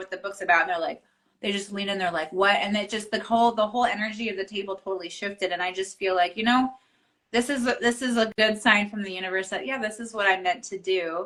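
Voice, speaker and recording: This woman talks very fast at a medium pitch with ordinary pitch variation. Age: 30s. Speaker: author and entrepreneur. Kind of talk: casual interview chat. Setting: Instagram live video.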